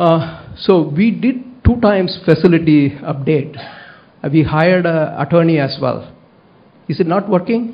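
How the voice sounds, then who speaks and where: With a Tamil accent, a man speaks at a moderate pace in a high voice, its pitch varying in an ordinary way. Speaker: public commenter at school board meeting. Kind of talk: public comment speech. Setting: school board meeting, at a microphone. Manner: halting, many fillers.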